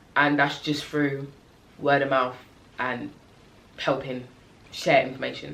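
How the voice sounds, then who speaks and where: With audible room echo, a woman speaks fairly slowly in a very deep, low, monotone voice with flat intonation and long, frequent pauses. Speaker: community interest company founder, vlogger. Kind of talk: casual talk to camera. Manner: halting, many fillers.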